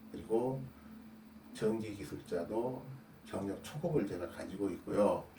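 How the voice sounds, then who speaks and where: Audible room echo and noticeable background noise around a man of medium pitch, lively in intonation, with long, frequent pauses. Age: 60s. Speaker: construction defect repair specialist and YouTuber. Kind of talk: casual explanatory talk to camera. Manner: hesitant with fillers.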